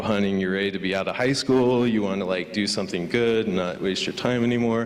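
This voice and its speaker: A man with a Californian accent and fairly low pitch speaks at a fairly quick pace with fairly even intonation, amid noticeable background noise and audible room echo. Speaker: motion graphics designer. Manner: stuttering; casual, filler-heavy.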